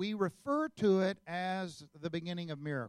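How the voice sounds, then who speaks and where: A man with an American accent speaks at a high pitch, with ordinary pitch variation. The sound is dry and close, with no echo. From Oklahoma. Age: 50s. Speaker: guest preacher. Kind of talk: sermon. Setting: church.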